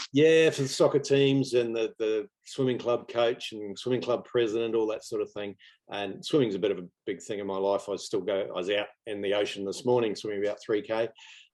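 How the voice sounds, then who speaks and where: With a New Zealand accent, a man speaks at medium pitch and a fairly quick pace. He uses ordinary pitch variation and hardly any pauses. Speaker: property investor. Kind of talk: interview. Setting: video call. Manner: halting.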